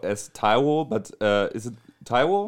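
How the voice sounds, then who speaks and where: On a very clean recording with a silent background, a man with a German accent speaks with lively intonation. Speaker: podcast host. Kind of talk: casual chat.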